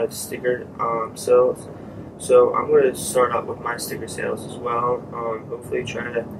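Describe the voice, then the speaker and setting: A soft-spoken man talks at a moderate pace over noticeable background noise. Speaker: vlogger testing podcast gear. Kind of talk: casual vlog monologue. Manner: hesitant, many fillers.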